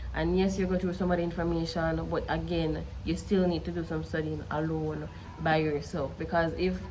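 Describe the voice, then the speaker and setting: A woman speaks with a Jamaican accent at a moderate pace. There is audible room echo. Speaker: study tutor and student youtuber. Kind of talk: casual vlog advice.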